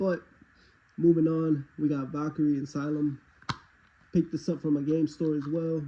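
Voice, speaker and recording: This man's pitch is fairly high, his tone dark and mellow. He is somewhat breathy and keeps a moderate pace. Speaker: game collector YouTuber. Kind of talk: casual talk to camera.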